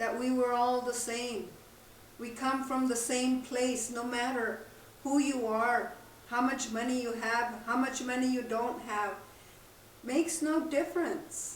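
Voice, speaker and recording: Amid noticeable background noise and audible room echo, a woman with a high pitch speaks at a fairly slow pace with fairly even intonation. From southern New Mexico. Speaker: spiritual teacher and drummer. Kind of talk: spiritual talk. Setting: outdoors by a campfire.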